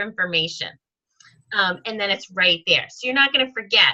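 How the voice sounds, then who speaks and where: A raised, projected voice with a bright, sharp tone moves at a fairly quick pace. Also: woman. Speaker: sales team leader and trainer. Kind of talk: training session on video call. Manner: lots of fillers.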